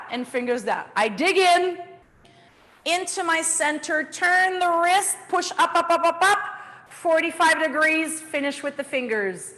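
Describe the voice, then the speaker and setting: An extremely high-pitched woman's raised, projected voice, animated in tone, at a fairly slow pace with ordinary pitch variation. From Canada. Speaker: dance instructor. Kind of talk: dance class instruction.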